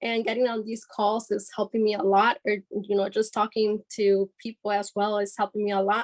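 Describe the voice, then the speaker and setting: Speaking at a moderate pace, a woman keeps a monotone, flat intonation at a fairly high pitch, with a dry, close sound with no echo. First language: Spanish. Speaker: business team member. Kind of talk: group call presentation. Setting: group call.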